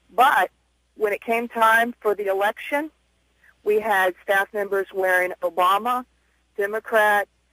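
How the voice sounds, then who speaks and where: Against a quiet background, a woman speaks at a fairly slow pace with fairly even intonation and a bright, sharp tone, the sound dry with no echo. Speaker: radio caller, schoolteacher. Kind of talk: call-in talk radio.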